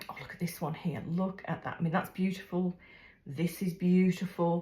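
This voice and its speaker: The voice is somewhat breathy and dark, mellow in tone, moving at a moderate pace with monotone, flat intonation. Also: woman, fairly low pitch for a woman. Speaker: craft video creator. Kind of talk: unboxing vlog. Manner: halting, many fillers.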